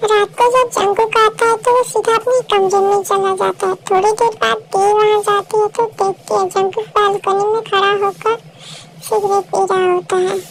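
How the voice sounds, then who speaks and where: A woman's extremely high, monotone, flat voice at a moderate pace and very even loudness, with clear background noise. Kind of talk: emotional fan-fiction storytelling. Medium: read story. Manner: soft, sympathetic.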